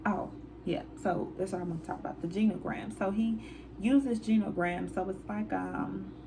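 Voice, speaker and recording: A woman's speech, delivered at a moderate pace, carries audible room echo along with noticeable background noise. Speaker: counselor and channel host. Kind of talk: casual movie review. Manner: hesitant, many fillers.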